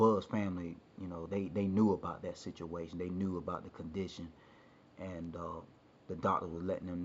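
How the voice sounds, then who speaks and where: A man with a very deep, low pitch, speaking in a monotone, flat intonation at a moderate pace. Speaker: storyteller. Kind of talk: personal storytelling. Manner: halting, many fillers.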